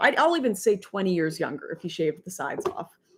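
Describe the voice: A woman talks at a moderate pace. Her pitch swings widely up and down.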